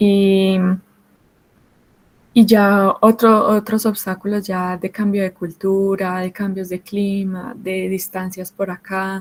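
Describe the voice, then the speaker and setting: At a very slow pace, a woman with a Colombian accent speaks at medium pitch in a monotone, flat delivery. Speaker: mining engineer. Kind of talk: panel talk. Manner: hesitant, with fillers.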